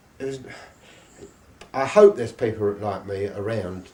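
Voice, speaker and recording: A man with an English accent talks at a moderate pace and a medium pitch. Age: 70s. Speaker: live music promoter and jazz saxophonist. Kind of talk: interview. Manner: halting.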